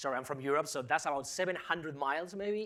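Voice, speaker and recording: The speaker has lively intonation and an animated tone on a very clean recording with a silent background. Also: man. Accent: Spanish. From Spain. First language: Spanish. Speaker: professor. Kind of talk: public lecture.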